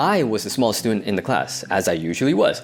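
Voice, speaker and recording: Very fast pace, American accent, noticeable background noise. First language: Cantonese. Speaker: video essayist. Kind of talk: personal storytelling monologue. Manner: casual, conversational.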